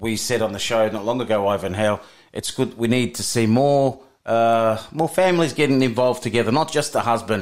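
On a very clean recording with a silent background, a man with an unremarkable speaking voice talks at a fairly quick pace in a medium pitch with ordinary pitch variation. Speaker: radio co-host. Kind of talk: community radio patter, casual studio banter and interview. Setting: studio. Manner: chatty, warm, upbeat and conversational, echoing and agreeing in quick bursts.

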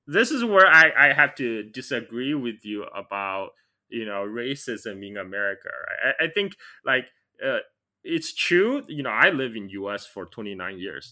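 A man's medium-pitched voice in a Chinese accent, bright and sharp in tone, with very wide pitch swings at a fairly slow pace. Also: very clean recording, silent background. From China. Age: 40s. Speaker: podcast host. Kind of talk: casual interview.

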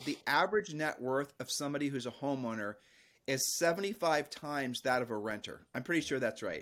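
A man's plain, everyday voice with a fairly high pitch, ordinary pitch variation and a fairly quick pace, in a very clean recording with a silent background. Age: 50s. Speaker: real estate agent and coach. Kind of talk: interview. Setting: mountain cabin in Appalachia.

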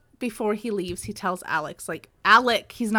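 An unforced reading voice, its pitch shifting in an ordinary way

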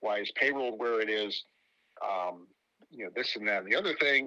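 With an American accent, a man with an ordinary speaking voice talks at a fairly quick pace and medium pitch. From Pittsburgh, western Pennsylvania. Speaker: baseball journalist. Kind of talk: podcast interview.

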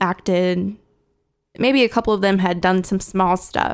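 With a plain, everyday voice, a woman speaks at a moderate pace and medium pitch, her intonation fairly even. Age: 20s. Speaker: podcast host. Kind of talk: casual chat. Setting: video call.

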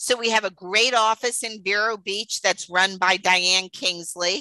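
Her sound dry and close with no echo, a woman with a New York accent speaks at a fairly slow pace in a bright, sharp tone. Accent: New York accent, noticeable. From New York City (Queens). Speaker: dietitian, business owner. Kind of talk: interview, casual chat.

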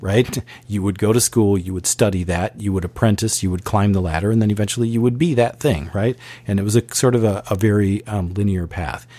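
A man talks at a fairly quick pace in a dark, mellow tone. His pitch varies in an ordinary way. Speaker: creative agency co-founder and musician. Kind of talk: interview conversation. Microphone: professional high-quality mic.

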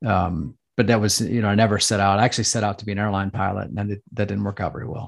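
Against a quiet background, a man with an American accent talks very fast with hardly any pauses, at a fairly low pitch and with fairly even intonation. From United States. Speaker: former fighter pilot and business coach. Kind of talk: casual interview.

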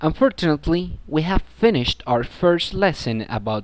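A man speaks in a Spanish accent at a fairly slow pace, his pitch swinging very widely. The recording is very clean with a silent background. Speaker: student presenter of a pronunciation program. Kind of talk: scripted narration.

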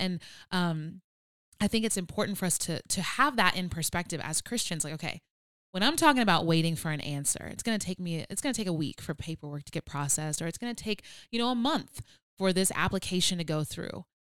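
With an ordinary speaking voice, a woman at a medium pitch talks at a fairly quick pace with lively intonation. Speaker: podcast co-host. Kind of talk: casual chat podcast with faith talk. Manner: playful, humorous.

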